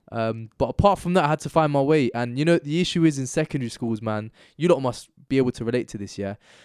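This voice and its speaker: On a very clean recording with a silent background and a dry, close sound with no echo, a man with a London accent talks very fast at a medium pitch, with ordinary pitch variation and hardly any pauses. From northwest London. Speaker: activist and podcast guest. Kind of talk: casual chat.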